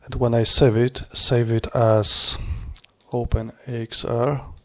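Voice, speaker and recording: A man speaks at a very slow pace and medium pitch in a flat monotone. Noticeable background noise runs underneath. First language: not English. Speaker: HDR image creator. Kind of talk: screen-recorded tutorial. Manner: halting.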